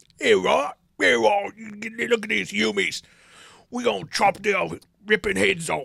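A man puts on a character voice, raspy and high in pitch for a man. He moves at a fairly slow pace, with long, frequent pauses. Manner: goofy.

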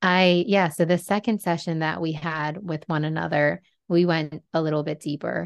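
The woman has an unremarkable speaking voice, fairly low in pitch, at a moderate pace. Her intonation is fairly even, and the background is quiet. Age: 30s. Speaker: Reiki healer and spiritual coach. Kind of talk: casual chat.

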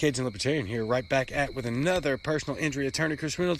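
Talking at a very fast pace, a man with a Southern US accent has a fairly high pitch. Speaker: caller, lawyer. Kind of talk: voicemail message.

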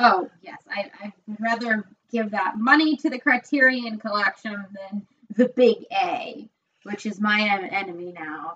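With an American accent, a woman with an ordinary speaking voice talks fairly slowly at a fairly high pitch, her intonation lively and her loudness swinging widely. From upstate New York. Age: 20s. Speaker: podcast co-host. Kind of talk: casual chat.

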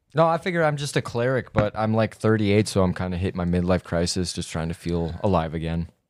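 The speech is very fast with hardly any pauses and lively intonation. The recording is very clean, with a silent background. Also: man, very deep, low pitch for a man. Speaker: tabletop game player. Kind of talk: casual banter during tabletop game.

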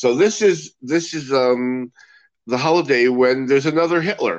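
A man with an American accent and an unremarkable speaking voice, medium in pitch, at a fairly slow pace with lively intonation. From US West Coast, Los Angeles. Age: 60s. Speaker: magician. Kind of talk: casual chat.

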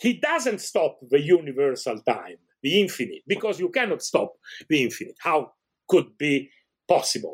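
With an Italian accent, a man talks at a moderate pace. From Italy. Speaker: professor of ancient Iranian studies. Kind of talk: interview, scholarly explanation. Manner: halting, many fillers.

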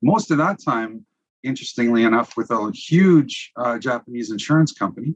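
With a Canadian accent, a man with an unremarkable speaking voice and medium pitch talks at a moderate pace with lively intonation in a dry, close sound with no echo. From Saskatchewan, Canada. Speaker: business development leader. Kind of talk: interview conversation.

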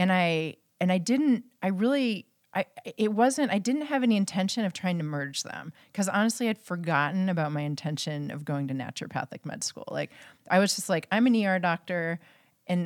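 In an unremarkable speaking voice, a woman talks at a moderate pace with lively intonation over a dry, close sound that has no echo. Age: 40s. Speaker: physician. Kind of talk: casual chat.

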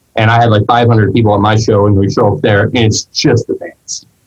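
Somewhat breathy, a man speaks at a moderate pace with a medium pitch and ordinary pitch variation. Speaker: podcast host; musician. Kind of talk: casual chat.

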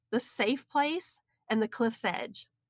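With a Southern US accent, a woman speaks at a fairly slow pace and fairly high pitch with ordinary pitch variation, in a very clean recording with a silent background and a dry, close sound with no echo. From US South, Alabama. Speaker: author and speaker. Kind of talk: interview.

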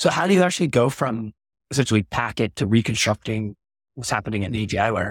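On a very clean recording with a silent background and a dry, close sound with no echo, a man talks at a very fast pace, somewhat breathy, with lively intonation at a medium pitch. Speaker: podcast host. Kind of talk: casual interview questions.

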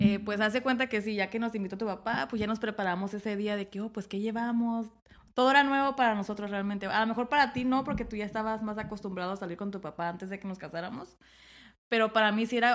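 Talking at a very fast pace, a woman keeps a fairly high pitch and fairly even intonation. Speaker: host's wife, off-road enthusiast. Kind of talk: casual chat. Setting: studio, seated next to host. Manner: stammering when nervous.

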